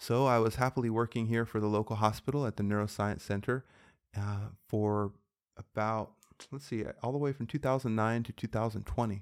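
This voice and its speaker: Talking fairly quickly, a man has a plain, everyday voice at a medium pitch. His intonation stays fairly even, and the recording is very clean, with a silent background. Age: 40s. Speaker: physician and health podcast host. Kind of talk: casual inspirational monologue.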